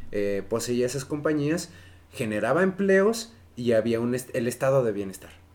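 A man speaks at a medium pitch with a Mexican accent. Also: lively intonation, moderate pace. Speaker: podcast co-host. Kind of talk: casual chat.

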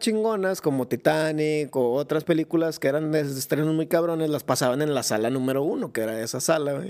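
The speaker's intonation is lively and the pace moderate. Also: man. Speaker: podcast host. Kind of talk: casual chat. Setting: live video stream. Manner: animated.

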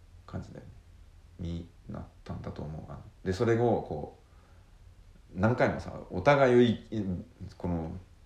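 A man's very deep, low voice with lively intonation and big swings in loudness, at a moderate pace with long, frequent pauses, amid audible room echo. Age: 30s. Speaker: podcast co-host, island resident. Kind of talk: casual chat.

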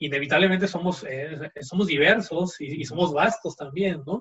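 This man talks at a fairly high pitch and a fairly slow pace. His loudness swings widely, while his pitch variation is ordinary. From Mexico. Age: 20s. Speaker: podcast guest, cultural commentator. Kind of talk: casual interview chat. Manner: halting, many repeated words.

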